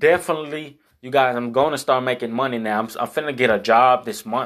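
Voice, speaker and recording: A man speaks at a medium pitch and a moderate pace with ordinary pitch variation, in a very clean recording with a silent background. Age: 20s. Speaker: youtuber. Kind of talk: vlog monologue. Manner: casual, filler-heavy.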